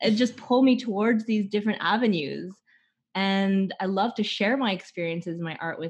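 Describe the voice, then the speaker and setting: A woman's plain, everyday voice in a Canadian accent, medium in pitch, at a moderate pace with ordinary pitch variation, over a quiet background. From Vancouver, Canada. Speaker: theater artist. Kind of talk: interview.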